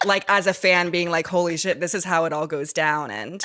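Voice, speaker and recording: A woman with an American accent talks at a fairly quick pace, her fairly low voice carrying a bright, sharp tone. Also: dry, close sound with no echo. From New York, Manhattan. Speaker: reality TV contestant. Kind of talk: casual chat. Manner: animated.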